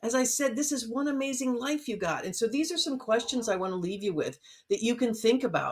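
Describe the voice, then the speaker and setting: A woman's high, animated voice, fairly quick, with lively intonation. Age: 60s. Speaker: neonatal nurse turned life coach. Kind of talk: motivational talk in a live interview.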